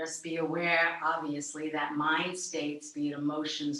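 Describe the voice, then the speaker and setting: A calm woman speaks very slowly in a very deep, low voice with flat, monotone intonation, and the room echo is audible. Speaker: yoga teacher. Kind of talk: guided meditation.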